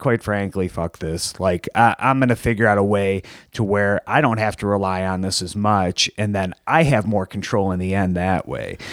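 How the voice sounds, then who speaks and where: A man with a plain, everyday voice and an American accent speaks at a moderate pace in a fairly low pitch, on a very clean recording with a silent background. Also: dry, close sound with no echo. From Michigan, Detroit area (Plymouth). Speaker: professional wrestler. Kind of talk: casual chat.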